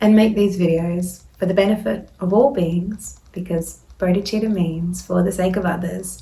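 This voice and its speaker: This woman has a medium pitch and fairly even intonation. She talks at a moderate pace. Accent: Australian. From Australia. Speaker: Buddhist dharma teacher. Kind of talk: casual talk to camera.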